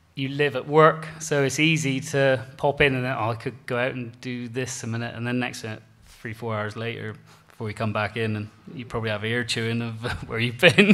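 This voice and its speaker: The voice has a bright, sharp tone and a Cornish accent. It moves at a fairly quick pace with ordinary pitch variation. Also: man. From Cornwall, England. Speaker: beef farmer; panelist. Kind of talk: conference panel talk. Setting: stage with audience. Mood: relaxed, good-humoured. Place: hall. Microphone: podium.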